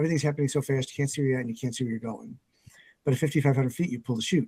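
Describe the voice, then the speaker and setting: Somewhat breathy and dark, mellow in tone, this voice keeps a fairly even intonation. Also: man. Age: 60s. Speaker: business coach and CEO. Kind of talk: podcast interview.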